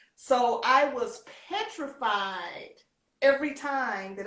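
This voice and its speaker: Audible room echo around a woman speaking with ordinary pitch variation. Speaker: former beauty queen and pageant coach. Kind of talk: interview.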